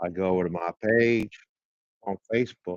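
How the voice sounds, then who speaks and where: Very slowly and in a flat monotone, a man speaks with a very deep, low voice. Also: dry, close sound with no echo. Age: 60s. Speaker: solo livestream vlogger. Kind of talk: casual monologue. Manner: halting with many fillers.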